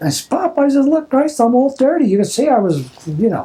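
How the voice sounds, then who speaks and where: A man's pitch swings very widely over noticeable background noise. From Philadelphia. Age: 80s+. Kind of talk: family oral history interview. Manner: casual, rambling storytelling.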